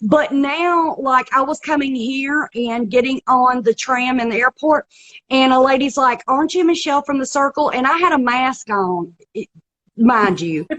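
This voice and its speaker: In a strong Southern US accent, a woman speaks at a moderate pace with a high pitch and ordinary pitch variation. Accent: thick Southern US. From US South, South Carolina small town. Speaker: reality TV contestant and comedian. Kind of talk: interview.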